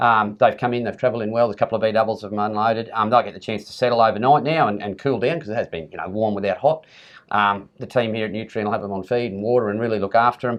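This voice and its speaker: With an Australian accent, a man talks at a very fast pace and a medium pitch. His intonation is fairly even, but his loudness swings a lot. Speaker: campdraft judge. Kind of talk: casual chat. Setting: event venue.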